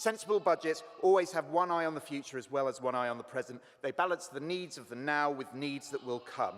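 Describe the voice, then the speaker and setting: Talking at a fairly quick pace with hardly any pauses, a man uses a fairly high pitch and lively intonation over noticeable background noise. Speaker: councillor. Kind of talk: council debate speech. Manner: fast.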